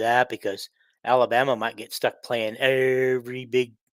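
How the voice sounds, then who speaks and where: A man speaks here. He has a Midwestern US accent. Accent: US Midwest. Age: 60s. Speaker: sports podcaster. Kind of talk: casual monologue. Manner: halting, many fillers.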